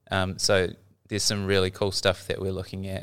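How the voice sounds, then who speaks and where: On a very clean recording with a silent background, a man with a New Zealand accent speaks at a fairly low pitch. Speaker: library learning specialist. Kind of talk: casual explanation.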